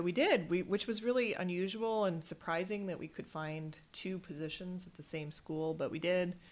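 A woman with an American accent, a normal speaking voice and a fairly low pitch, at a moderate pace with hardly any pauses, fairly even intonation and big swings in loudness. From Michigan. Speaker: congressional candidate. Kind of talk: interview.

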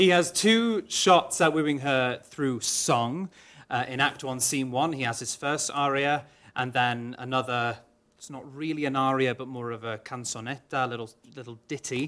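In a Welsh accent, a man with a medium-pitched, bright, sharp voice speaks at a moderate pace with ordinary pitch variation and big swings in loudness, on a very clean recording with a silent background. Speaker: opera singer. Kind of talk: panel interview. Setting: stage with audience.

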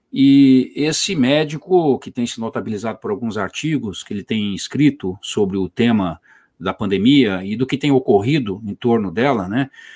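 With an ordinary speaking voice at medium pitch, a man talks at a moderate pace with lively intonation, recorded very clean and dry, close, with no echo and a silent background. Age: 50s. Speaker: podcast host. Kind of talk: interview. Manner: formal.

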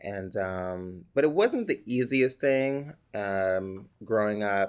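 A man with a New York accent speaks at a very slow pace in a fairly low voice with ordinary pitch variation. The recording is very clean, with a silent background. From New York City, the Bronx. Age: 30s. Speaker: actor. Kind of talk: oral history interview. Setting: library office.

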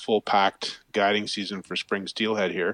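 In an Ontario accent, a man with a fairly low pitch speaks in a dry, close sound with no echo. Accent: Canadian (Ontario). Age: 50s. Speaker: fly fishing guide. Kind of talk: casual interview chat.

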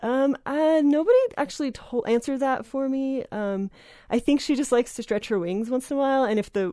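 With an American accent, a woman speaks at a moderate pace in a dark, mellow tone with lively intonation. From New Jersey. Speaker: magazine editor and writer. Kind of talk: casual interview. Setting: radio studio. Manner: hesitant, many fillers.

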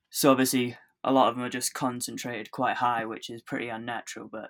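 A man with a southern English accent talks fairly quickly at a medium pitch in a monotone, flat intonation, with a dry, close sound with no echo. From England, Oxfordshire (Bicester). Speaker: skateboarder. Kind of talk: casual chat.

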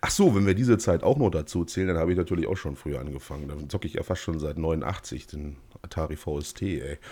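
A man speaks very fast with a very deep, low pitch, ordinary pitch variation, vocal fry and a dark, mellow tone. The recording is very clean with a silent background. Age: 30s. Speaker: gaming podcast host. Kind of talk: casual chat. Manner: halting, repeats words.

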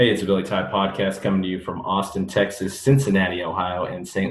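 Against noticeable background noise, a man with an American accent and a very deep, low pitch talks at a fairly quick pace, with fairly even intonation and hardly any pauses. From US Midwest. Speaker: podcast host. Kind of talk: casual interview. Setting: remote recording.

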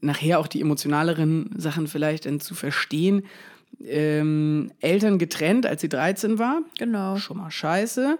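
At a very slow pace, a man speaks in a high pitch. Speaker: music podcast co-host. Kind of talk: casual chat. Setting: home recording, not a studio.

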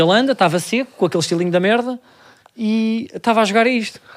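Very fast speech from a man with lively intonation. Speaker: comedian podcast host. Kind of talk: casual chat.

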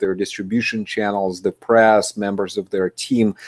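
Speaking at a moderate pace with a non-native accent, a man with a fairly low pitch is heard in a dry, close sound with no echo on a very clean recording with a silent background. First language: not English. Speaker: podcast host. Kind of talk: interview. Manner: halting.

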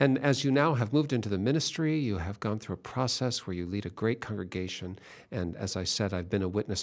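Here a man talks fairly quickly at a fairly low pitch, in a plain, everyday voice. The recording is very clean, with a silent background. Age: 60s. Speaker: radio host for a church ministry. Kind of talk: religious radio interview. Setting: studio.

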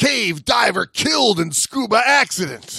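A put-on character voice swings very widely in pitch at a moderate pace. The sound is dry and close with no echo. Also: man. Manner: exaggerated, dramatic.

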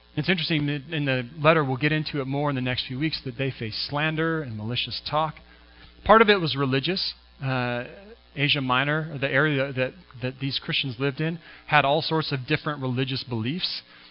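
A man speaks in a West Coast accent at a fairly quick pace. His pitch is fairly high and his intonation fairly even. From US Pacific Northwest, Washington State. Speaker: pastor. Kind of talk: sermon. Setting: church.

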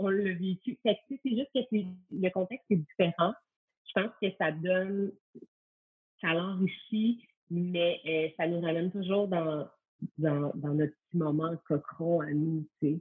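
A woman speaks at a very slow pace in a fairly low voice, with ordinary pitch variation and long, frequent pauses. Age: 30s. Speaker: stay-at-home mother, former yoga teacher. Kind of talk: casual interview.

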